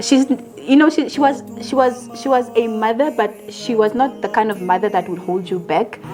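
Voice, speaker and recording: Over music in the background, a woman talks at a moderate pace. Her pitch is fairly high, with ordinary variation. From Namibia. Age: 30s. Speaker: actress and producer. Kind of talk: interview. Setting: at her home. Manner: calm, quiet.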